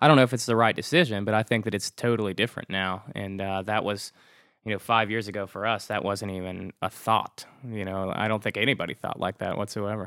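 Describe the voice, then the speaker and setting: A man's fairly low voice, a normal speaking voice with an American accent, at a fairly quick pace, in a dry, close sound with no echo and a very clean recording over a silent background. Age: 30s. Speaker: rock band singer. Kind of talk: casual interview chat.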